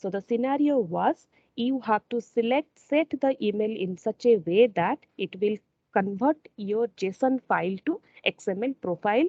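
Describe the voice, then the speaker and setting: An unremarkable speaking voice moves at a fairly slow pace. The intonation is lively. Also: woman, fairly high pitch for a woman. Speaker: software integration trainer. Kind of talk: tutorial.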